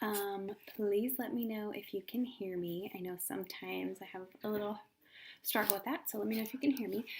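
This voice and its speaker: A soft-spoken woman at a fairly quick pace, medium in pitch, with ordinary pitch variation. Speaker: essential oils presenter. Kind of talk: live video talk.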